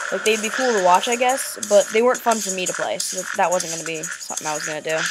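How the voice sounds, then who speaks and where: With noticeable background noise, a woman talks at a very fast pace at medium pitch with ordinary pitch variation. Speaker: gamer. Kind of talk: casual gameplay commentary.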